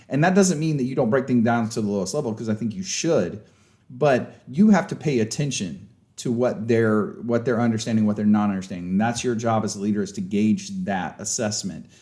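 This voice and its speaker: A man with a medium pitch and a dark, mellow tone speaks at a fairly quick pace with lively intonation, and audible room echo surrounds his voice. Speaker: sports coach and leadership trainer. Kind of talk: lecture. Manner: loud; casual, conversational.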